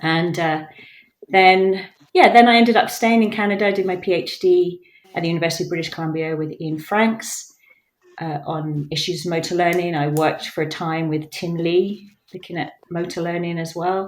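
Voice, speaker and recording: A woman speaks with an English accent. Her voice is fairly low in pitch and her intonation fairly even. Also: moderate pace. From England. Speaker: professor. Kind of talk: podcast interview.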